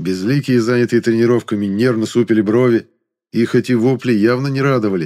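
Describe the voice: Against a quiet background, this is plain reading aloud.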